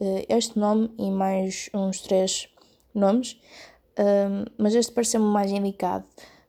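A woman speaks at a fairly slow pace with a European Portuguese accent, her pitch medium. Her tone is dark and mellow, and her intonation stays monotone and flat. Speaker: podcaster and blogger. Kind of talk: solo podcast monologue. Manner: hesitant, many fillers.

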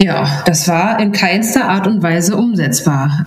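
A woman's voice comes with audible room echo. Background noise is noticeable too. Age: 30s. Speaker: intensive care nurse. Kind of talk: interview. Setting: audio call.

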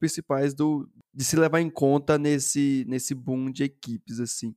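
In a very clean, dry, close recording with no echo and a silent background, a man with a fairly high voice and a dark, mellow tone speaks fairly slowly with fairly even intonation. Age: 20s. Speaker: software developer and streamer. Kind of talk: casual chat.

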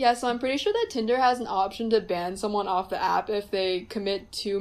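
A woman with an American accent speaks at a fairly quick pace in an ordinary speaking voice, fairly high in pitch with fairly even intonation. The recording is very clean, with a silent background. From US, New Jersey. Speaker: recent college graduate. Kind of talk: casual chat.

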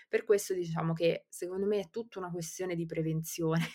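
On a very clean recording with a silent background, a woman talks at a fairly low pitch with fairly even intonation. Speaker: criminologist. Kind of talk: explanatory discussion. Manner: hesitant, many fillers.

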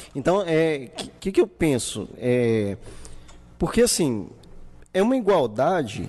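A man talks at a very slow pace in a dark, mellow tone. His pitch swings very widely, with long, frequent pauses. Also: fairly high pitch for a man. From Brazil, Santa Cruz periphery. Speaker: podcast host. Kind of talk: casual chat. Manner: animated.

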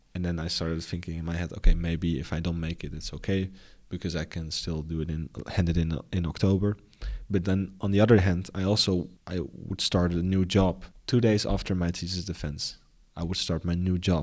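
On a very clean recording with a silent background, a man with a Dutch accent and a very deep, low pitch speaks at a fairly quick pace with fairly even intonation. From Netherlands, near Den Bosch. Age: 20s. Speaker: graduate student and entrepreneur. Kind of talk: interview.

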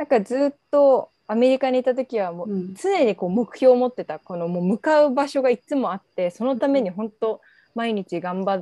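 Speaking at a moderate pace with lively intonation, a woman has a fairly high pitch and a dark, mellow tone, recorded dry and close with no echo against a quiet background. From Japan, Saitama. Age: 20s. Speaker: coach for returnee youth. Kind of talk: casual interview chat.

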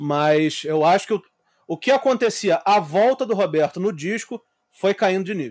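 In a dry, close sound with no echo, a man with a high pitch talks at a moderate pace with lively intonation. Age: 30s. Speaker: podcast host. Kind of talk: casual chat.

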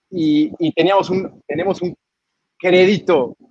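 This man talks at a high pitch. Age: 20s. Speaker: brewery director. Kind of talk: interview. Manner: talkative, many fillers.

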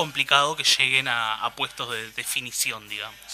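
With music in the background, a man speaks in a Uruguayan accent. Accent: Uruguayan Spanish (rioplatense). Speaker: carnival columnist. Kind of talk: radio talk segment. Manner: hesitant, many repeated words.

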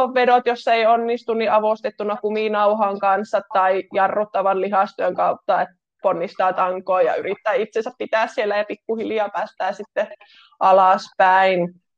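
In an ordinary speaking voice, the speaker talks at a fairly slow pace with fairly even intonation, and the sound is dry and close with no echo. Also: woman, medium pitch for a woman. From Finland, North Karelia (Kitee). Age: 30s. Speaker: pole dance instructor and physiotherapist. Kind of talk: casual interview. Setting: remote call.

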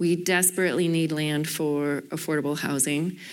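A normal speaking voice from a woman, fairly low in pitch at a moderate pace, on a very clean recording with a silent background. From Canada, Toronto. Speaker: real estate developer. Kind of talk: panel discussion. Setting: stage with audience.

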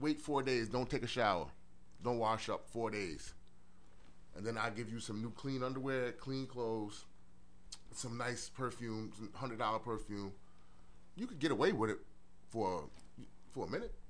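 With a New York accent, a man talks with lively intonation and long, frequent pauses. Room echo is audible. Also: medium pitch for a man, moderate pace. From Brooklyn, New York. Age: 40s. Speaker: former police officer and social work student. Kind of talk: casual chat. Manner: halting, many repeated words.

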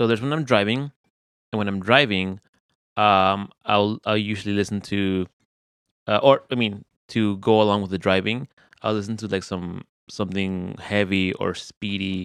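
At a moderate pace, a man of fairly low pitch speaks with fairly even intonation and long, frequent pauses, against a quiet background in a dry, close sound with no echo. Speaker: podcast host. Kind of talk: casual chat; heartfelt closing message. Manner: mumbling.

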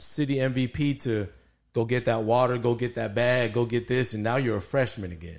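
A plain, everyday voice from a man with an American accent, medium pitch and ordinary pitch variation, against a quiet background. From El Paso, Texas. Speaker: sports podcast co-host, former football player. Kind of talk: casual chat.

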